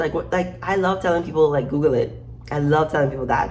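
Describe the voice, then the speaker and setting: A woman's American accent with vocal fry, ordinary pitch variation and audible room echo. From Caribbean, Saint Croix (US Virgin Islands). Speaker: YouTuber with a doctorate, social commentator. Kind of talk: casual vlog monologue. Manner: conversational, with frequent fillers and repetitions.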